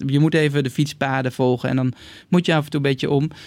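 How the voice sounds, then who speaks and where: Fairly high-pitched and fairly quick, a man speaks with fairly even intonation on a very clean recording with a silent background. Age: 40s. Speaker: bicycle company co-founder. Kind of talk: interview. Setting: studio. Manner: halting.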